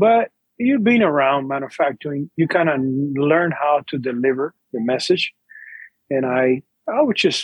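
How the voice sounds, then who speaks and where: A man's ordinary speaking voice, fairly high-pitched, with lively intonation. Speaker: cigar company owner. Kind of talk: interview.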